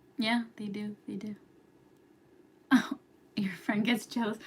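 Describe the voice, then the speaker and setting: A woman whispers quietly at a moderate pace, sounding somewhat breathy. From New York. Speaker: astrology youtuber. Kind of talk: casual livestream chat. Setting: live stream at home. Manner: whispering, quiet.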